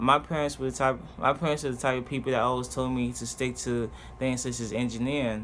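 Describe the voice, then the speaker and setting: The speaker has a Haitian accent and a bright, sharp tone. The pace is fairly quick. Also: man. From Haiti, then Richmond, Virginia from age six. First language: Haitian Creole. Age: 20s. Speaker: vlogger. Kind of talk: personal introduction monologue. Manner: halting, with fillers and restarts.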